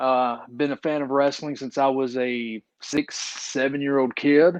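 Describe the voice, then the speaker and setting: A man talks in a fairly high pitch with a strong Appalachian accent at a fairly slow pace. His delivery is monotone and flat, and the sound is dry and close with no echo. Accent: thick Appalachian hillbilly. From eastern Kentucky, Appalachian mountains. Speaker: independent wrestler. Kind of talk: podcast interview.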